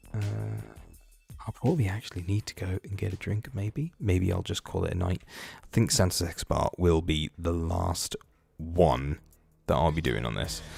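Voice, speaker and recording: Using a British accent, a man with a very deep, low voice and vocal fry speaks at a moderate pace with lively intonation and long, frequent pauses. The recording is very clean with a silent background, dry and close with no echo. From Britain. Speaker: gaming YouTuber and livestreamer. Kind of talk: casual livestream chat. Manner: halting, many fillers.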